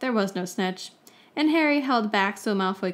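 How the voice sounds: Lively intonation in a natural reading voice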